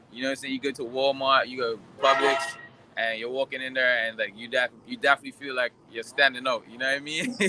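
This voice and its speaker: A man speaks at a very fast pace in an animated tone. There is noticeable background noise. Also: medium pitch for a man. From Bermuda, raised partly in Dominican Republic. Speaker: interviewee. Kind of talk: interview. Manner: casual, animated storytelling.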